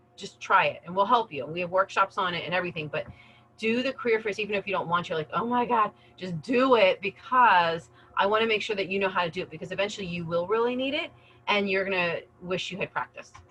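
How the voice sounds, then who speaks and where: Over noticeable background noise, a woman with an American accent talks at a very fast pace, medium pitch and ordinary pitch variation. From US East Coast. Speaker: career center adviser. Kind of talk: webinar presentation. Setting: video call. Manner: animated.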